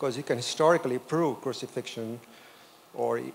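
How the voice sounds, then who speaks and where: A man with an unremarkable speaking voice talks at a fairly quick pace and medium pitch. There is light background noise. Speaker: audience member. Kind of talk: audience question. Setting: church. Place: church.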